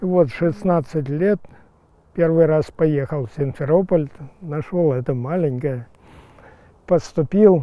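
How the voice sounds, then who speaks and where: Ordinary pitch variation marks this very slowly paced speech. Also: man. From Crimea. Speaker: nursery owner, fruit tree grower. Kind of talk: casual interview, guided tour talk. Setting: outdoors.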